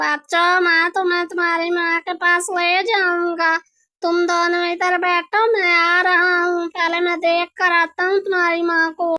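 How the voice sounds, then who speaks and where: A woman uses a cartoonish character voice at an extremely high pitch, with monotone, flat intonation. She speaks at a fairly slow pace with hardly any pauses. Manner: warm, friendly.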